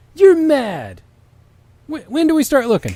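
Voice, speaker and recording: Using a put-on character voice pitched extremely high, a man speaks at a moderate pace. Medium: read story. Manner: brash, blunt.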